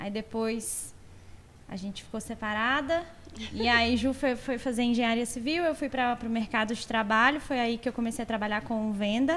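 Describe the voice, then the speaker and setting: Here is a woman with a plain, everyday voice and a fairly high pitch. She talks at a moderate pace with fairly even intonation. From Belo Horizonte, Brazil. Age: 30s. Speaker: furniture store co-owner, salesperson. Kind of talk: podcast interview.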